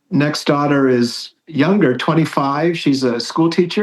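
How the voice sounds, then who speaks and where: The clip has a plain, everyday voice with ordinary pitch variation. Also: man. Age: 60s. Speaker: priest. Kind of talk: casual chat.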